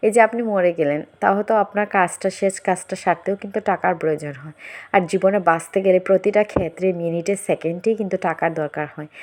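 Against a quiet background, a woman with medium pitch and fairly even intonation talks in an ordinary speaking voice. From Bangladesh. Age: 30s. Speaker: vlogger. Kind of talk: casual vlog monologue.

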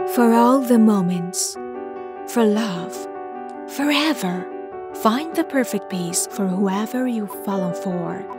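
A woman's very slow speech with long, frequent pauses, dry sound with no echo and clear music in the background. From Iran. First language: Persian. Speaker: voice actor. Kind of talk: TV commercial read. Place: booth. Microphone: studio mic.

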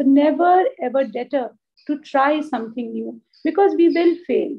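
A warm tone in an Indian accent, with ordinary pitch variation and a quiet background. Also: woman. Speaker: school principal. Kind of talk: ceremonial address. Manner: warm, encouraging. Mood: warm, encouraging. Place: office. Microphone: video call.

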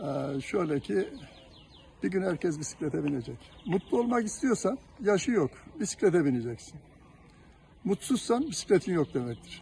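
A high-pitched man at a moderate pace, with very wide pitch swings and long, frequent pauses. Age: 70s. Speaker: cyclist. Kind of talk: street interview. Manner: halting.

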